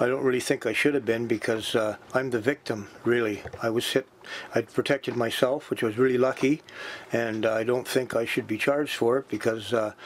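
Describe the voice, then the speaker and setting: Talking fairly quickly at a medium pitch, a man keeps fairly even intonation and very even loudness against noticeable background noise. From New Brunswick, Canada. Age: 60s. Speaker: home invasion victim. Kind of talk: interview. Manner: halting.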